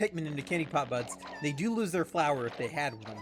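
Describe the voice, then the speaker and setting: Against noticeable background noise, a man talks at a very fast pace with very wide pitch swings. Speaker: video game streamer. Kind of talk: live gameplay commentary. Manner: halting with frequent fillers.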